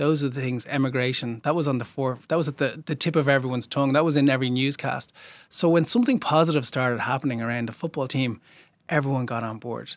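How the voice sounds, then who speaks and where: Speaking very fast with an Irish accent, a man with a medium-pitched voice keeps his intonation fairly even, in a very clean recording with a silent background. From Ireland. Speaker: documentary filmmaker. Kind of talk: interview.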